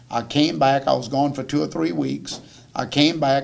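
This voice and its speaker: A man with a south Louisiana accent speaks at a moderate pace. His pitch is fairly high, with lively intonation. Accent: south Louisiana Cajun English. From south Louisiana, St. James Parish. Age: 60s. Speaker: chef. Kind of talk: audience Q&A talk. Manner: halting, many repetitions.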